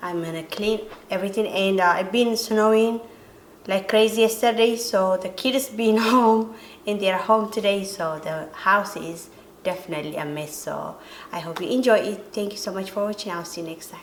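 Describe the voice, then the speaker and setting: The speaker has an Eritrean accent, and the loudness swings a lot. There is audible room echo along with noticeable background noise. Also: woman, medium pitch for a woman, ordinary pitch variation, moderate pace. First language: Tigrinya. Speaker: home cleaning vlogger. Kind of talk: casual vlog intro. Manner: halting.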